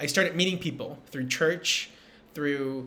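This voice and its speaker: With a Spanish accent, a man speaks at a moderate pace in a fairly high voice with ordinary pitch variation. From Peru. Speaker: entrepreneur and speaker. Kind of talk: recorded motivational talk.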